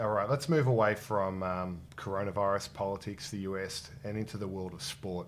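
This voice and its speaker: A man with an Australian accent speaks at a moderate pace with hardly any pauses. His voice is fairly low-pitched, with ordinary pitch variation. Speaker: podcast host. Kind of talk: casual interview about investing.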